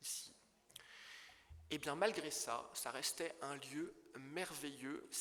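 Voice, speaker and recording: A man speaks very slowly, with long, frequent pauses, in a fairly high voice with a bright, sharp tone. Room echo is audible. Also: ordinary pitch variation. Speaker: property dealer in historic buildings. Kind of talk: illustrated conference talk. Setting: conference hall with audience. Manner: halting, with stumbles and fillers.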